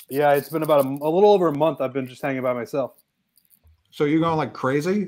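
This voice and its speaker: Lively intonation marks this man's speech. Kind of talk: casual chat. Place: home room.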